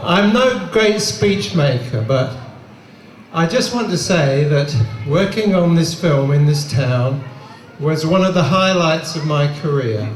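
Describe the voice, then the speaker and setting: A man at a fairly high pitch and a very slow pace, with audible room echo and noticeable background noise. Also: lively intonation, very even loudness. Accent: Australian. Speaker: film production designer. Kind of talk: short thank-you speech. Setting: outdoors in crowd, street screening. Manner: loud, shouting.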